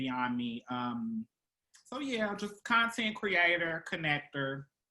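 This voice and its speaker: A woman with an American accent, bright and sharp in tone, very wide pitch swings, fairly slow pace. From Virginia, US. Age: 30s. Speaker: performer and content creator. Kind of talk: interview.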